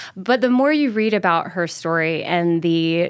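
With an unremarkable speaking voice, a woman talks at a moderate pace in a fairly low pitch. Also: very clean recording, silent background. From US South, Mobile, Alabama. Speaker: actor and filmmaker. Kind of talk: storytelling interview.

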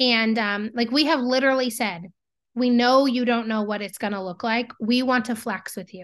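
A woman speaks in an ordinary speaking voice with fairly even intonation. The background is quiet. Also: fairly high pitch for a woman, moderate pace. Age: 30s. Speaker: business owner and CEO in agricultural marketing. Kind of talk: casual interview.

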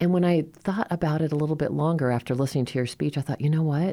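A woman's very deep, low pitch with a dark, mellow tone and ordinary pitch variation. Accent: General American. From Colorado (Fort Collins). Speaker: community radio host. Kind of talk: interview.

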